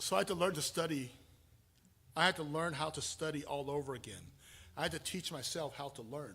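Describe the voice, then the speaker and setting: A man's fairly high, bright, sharp voice at a fairly quick pace, broken by long, frequent pauses. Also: ordinary pitch variation. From Taiwan, then Southern California from age eleven. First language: Chinese (Mandarin). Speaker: pastor. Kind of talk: sermon.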